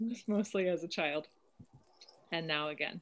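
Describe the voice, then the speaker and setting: With an American accent, a woman talks at a fairly low pitch with fairly even intonation. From US West Coast, Oakland. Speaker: climate activist volunteer. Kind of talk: panel presentation.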